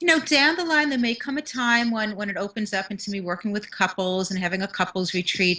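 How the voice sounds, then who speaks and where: A woman with a New York accent, medium-pitched with a bright, sharp tone, lively intonation and a very fast pace, over a quiet background. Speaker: motivational speaker and confidence mentor. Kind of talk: interview.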